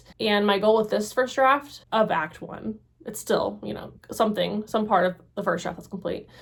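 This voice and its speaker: A woman speaks with vocal fry. Her pitch varies in an ordinary way. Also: fairly high pitch for a woman, big swings in loudness. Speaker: writing vlogger and PhD student. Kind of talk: casual vlog monologue. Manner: fast.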